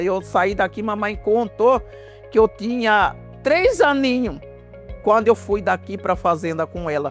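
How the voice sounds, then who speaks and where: A woman talks at a fairly slow pace while music plays behind her. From Vila Bela da Santíssima Trindade, Mato Grosso, Brazil. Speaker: quilombola community cultural leader, cook, singer. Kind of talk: interview answer.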